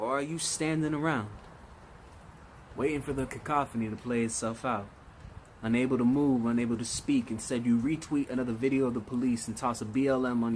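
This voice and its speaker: A plain, everyday voice with an American accent, ordinary pitch variation and a fairly quick pace. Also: man. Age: 20s. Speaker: spoken word poet. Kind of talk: spoken word poetry performance.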